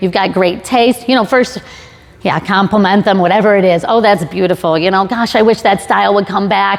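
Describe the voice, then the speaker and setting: An animated tone comes through at a fairly quick pace, with music in the background. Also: woman, medium pitch for a woman. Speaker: sales trainer, conference speaker. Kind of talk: conference talk with audience questions. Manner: fast; conversational, animated.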